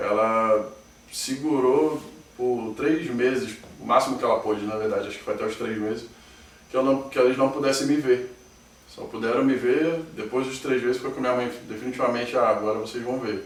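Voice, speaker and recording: A man talks with a Rio de Janeiro accent and fairly even intonation. Noticeable background noise and audible room echo come through. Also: medium pitch for a man, moderate pace. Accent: carioca. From Rio de Janeiro, Brazil (Niterói). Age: 30s. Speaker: interviewee claiming alien abduction. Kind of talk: testimony.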